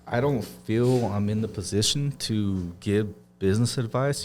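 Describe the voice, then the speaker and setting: An American-accented man talks with ordinary pitch variation. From southern California. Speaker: auto detailing business owner. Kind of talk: podcast interview. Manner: casual, laid-back.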